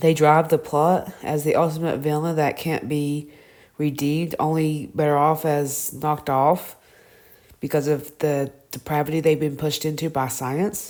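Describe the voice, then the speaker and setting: Speaking with a Southern US accent, a woman uses a very deep, low pitch, monotone, flat intonation, a dark, mellow tone and a fairly slow pace. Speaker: TV review vlogger. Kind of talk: casual review monologue. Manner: halting, self-correcting.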